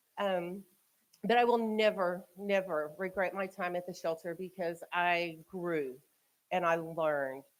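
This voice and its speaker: A woman's fairly low pitch at a fairly slow pace, with ordinary pitch variation. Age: 40s. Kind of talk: public talk to community audience. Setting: community event with live audience, eating. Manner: loud.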